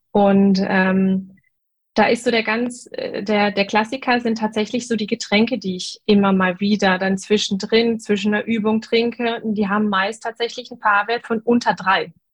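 Fairly slow and somewhat breathy, a woman speaks in a fairly high voice with monotone, flat intonation. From North Rhine-Westphalia, Germany. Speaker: dentist. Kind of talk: casual interview. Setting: video group call.

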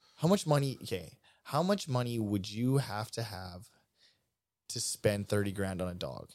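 A man with an unremarkable speaking voice and fairly low pitch talks at a moderate pace. His intonation is lively, on a very clean recording with a silent background. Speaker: podcast host. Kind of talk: casual chat.

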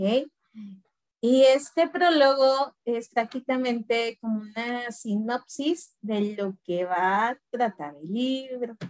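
With a high pitch and lively intonation, a woman speaks at a very slow pace in a dry, close sound with no echo. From Mexico, Guanajuato. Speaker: teacher and book club co-host. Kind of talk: casual chat about a book.

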